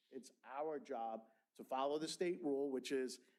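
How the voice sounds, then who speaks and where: Speaking at a medium pitch, a man has a New York accent. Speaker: school board member, former teacher. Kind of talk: board meeting discussion. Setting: public board meeting room. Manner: animated, with repeated words and false starts.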